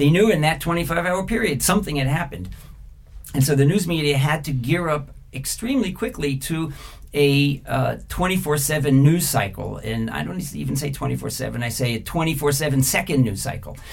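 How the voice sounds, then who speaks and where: A man with an ordinary speaking voice talks at a moderate pace, his pitch fairly high with ordinary variation. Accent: American. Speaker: media executive and former journalist. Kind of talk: interview.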